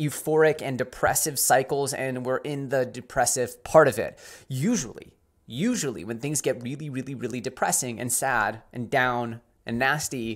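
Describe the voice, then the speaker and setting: Against a quiet background, a man speaks at a moderate pace. His pitch variation is ordinary. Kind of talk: commentary. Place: home room.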